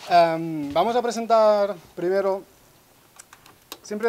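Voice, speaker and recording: Through noticeable background noise, a man with a slight Catalan accent speaks in a high voice with ordinary pitch variation. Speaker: musician and ensemble spokesman. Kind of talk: concert talk introducing instruments. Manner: hesitant, many fillers.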